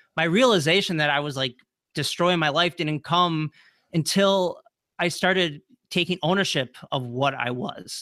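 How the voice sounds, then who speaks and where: In an American accent, a man speaks at a moderate pace with a fairly high pitch and a bright, sharp tone, on a very clean recording with a silent background. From Wisconsin. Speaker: transformational speaker and podcast host. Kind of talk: interview, personal story.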